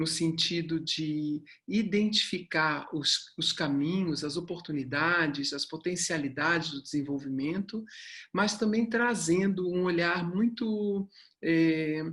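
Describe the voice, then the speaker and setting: This woman speaks at a very slow pace, her pitch fairly low. Her pitch varies in an ordinary way against a quiet background. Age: 60s. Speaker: human development mentor and company founder. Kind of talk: online talk.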